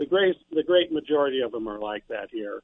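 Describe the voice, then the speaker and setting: A man with a Midwestern American accent, medium-pitched, at a fairly quick pace and with ordinary pitch variation. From eastern Iowa. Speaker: caller. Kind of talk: call-in talk radio. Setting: phone call.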